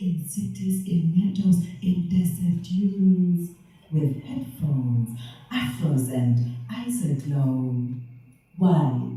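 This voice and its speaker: Music plays in the background as the speaker goes at a very slow pace. The tone is playful, with very wide pitch swings. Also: woman. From half German, half Liberian, living in the UK. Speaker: spoken word poet. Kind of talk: poetry reading. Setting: live venue, poor sound. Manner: playful, sensual, celebratory.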